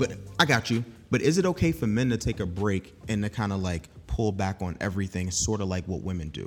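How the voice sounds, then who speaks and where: Speaking at a fairly quick pace, a man uses a fairly low pitch with ordinary pitch variation. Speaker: podcast host. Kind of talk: casual chat. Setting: studio. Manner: soft-spoken.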